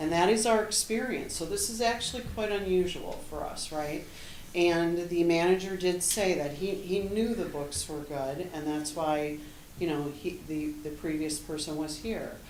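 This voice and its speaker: A woman talks with ordinary pitch variation. Audible room echo and noticeable background noise surround her voice. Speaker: interim finance director. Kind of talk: presentation. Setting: township board meeting. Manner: fast.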